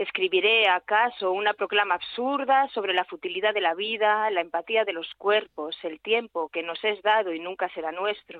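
An unremarkable speaking voice belongs to a woman talking at a moderate pace. Her pitch is medium, with ordinary variation. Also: hardly any pauses. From Aragón, Spain (Calatayud). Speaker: poet. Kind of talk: poetry reading. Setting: phone call.

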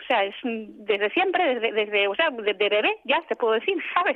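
A woman with an ordinary speaking voice talks at a moderate pace and a fairly high pitch. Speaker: journalist. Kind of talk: interview. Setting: phone call.

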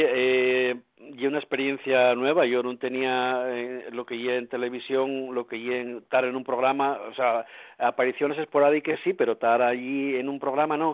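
Here a man with a medium pitch talks at a moderate pace. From Asturias. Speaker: musician. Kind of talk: radio interview. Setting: at home.

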